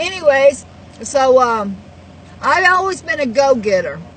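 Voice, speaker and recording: Noticeable background noise runs under the recording. A woman with a Texas accent speaks at a moderate pace. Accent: Southern US (Texas). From Texas, Houston. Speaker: network marketer and vlogger. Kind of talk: personal life story monologue. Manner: halting, many fillers.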